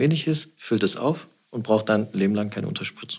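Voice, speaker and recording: A man with an unremarkable speaking voice talks at a fairly quick pace. His pitch is fairly low, with ordinary variation. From Swabia, Stuttgart. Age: 40s. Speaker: plastic surgeon. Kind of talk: interview.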